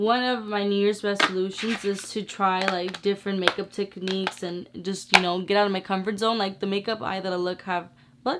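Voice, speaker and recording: Over noticeable background noise, a woman talks at a fairly quick pace in a medium pitch with hardly any pauses. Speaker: beauty youtuber. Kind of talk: makeup tutorial. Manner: casual, animated.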